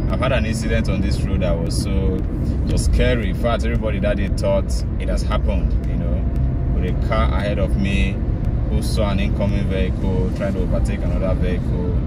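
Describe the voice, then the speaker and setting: Against loud background noise, a man talks at a fairly quick pace in a dry sound with no echo. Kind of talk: casual vlog commentary. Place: car. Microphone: phone near.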